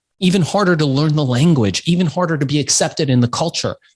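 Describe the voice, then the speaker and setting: A man's intonation is lively as he talks. Behind him, music plays in the background. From Iran. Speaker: entrepreneur. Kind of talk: interview. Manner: emphatic.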